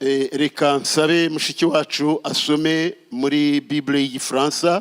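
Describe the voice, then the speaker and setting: Noticeable background noise runs behind a man with a fairly high pitch. His intonation is monotone and flat, and his pace is fairly slow. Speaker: pastor. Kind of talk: sermon.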